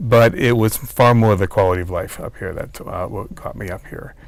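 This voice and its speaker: Speaking with a slight Boston accent, a man keeps a moderate pace and ordinary pitch variation. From US Northeast, Boston. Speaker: retired city planner, cyclist. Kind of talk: interview. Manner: hesitant, many fillers.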